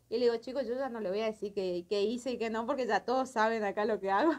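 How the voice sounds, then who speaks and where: A fairly quick pace with ordinary pitch variation. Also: woman. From Corrientes, Argentina. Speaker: carnival dancer; interviewee. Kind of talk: interview. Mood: emotional, lively recollection. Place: studio. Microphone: handheld.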